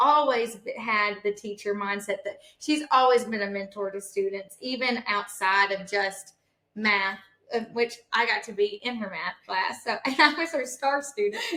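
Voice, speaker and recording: A woman speaks fairly slowly with a bright, sharp tone, a fairly high pitch and ordinary pitch variation. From rural farm upbringing. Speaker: podcast host. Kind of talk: casual chat.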